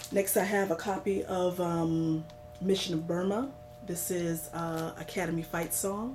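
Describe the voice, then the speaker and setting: A woman speaks at a fairly slow pace with ordinary pitch variation, audible room echo and noticeable background noise. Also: fairly low pitch for a woman. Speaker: vinyl record collector vlogger. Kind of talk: casual show-and-tell vlog. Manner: hesitant, many fillers.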